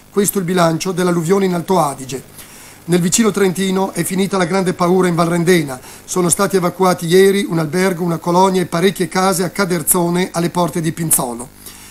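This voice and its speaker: Noticeable background noise sits behind a man speaking very fast. His pitch is high and his intonation fairly even. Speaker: regional news reporter. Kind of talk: TV news report voice-over, scripted. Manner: brisk, formal, informative.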